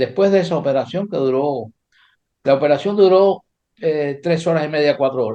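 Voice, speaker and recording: A man speaks at a moderate pace with ordinary pitch variation. His fairly high voice has a dark, mellow tone. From Cuba. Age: 80s+. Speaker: chess grandmaster. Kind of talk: interview. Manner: casual, storytelling.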